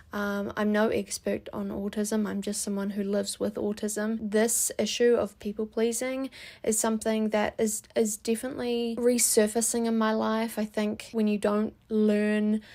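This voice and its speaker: A woman with a New Zealand accent speaks with a dark, mellow tone and fairly high pitch in a flat monotone, with hardly any pauses, on a very clean recording with a silent background. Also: moderate pace. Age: 20s. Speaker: vlogger. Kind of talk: personal vlog monologue. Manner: reflective, with filler hesitations.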